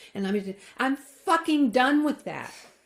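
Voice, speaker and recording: This is a woman speaking. Her pace is moderate. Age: 70s. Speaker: trauma psychologist. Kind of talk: casual chat. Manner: emphatic.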